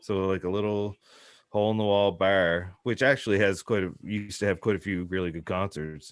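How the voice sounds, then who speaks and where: Talking at a fairly quick pace, a man with a South Shore Massachusetts accent keeps a fairly low pitch and fairly even intonation. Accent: South Shore twang. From Nova Scotia South Shore, Canada. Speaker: hip hop artist. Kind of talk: casual interview.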